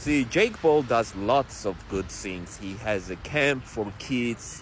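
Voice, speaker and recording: A man with a non-native accent talks at a very slow pace and a fairly low pitch. His intonation is lively, and noticeable background noise runs behind him. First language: not English. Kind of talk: interview.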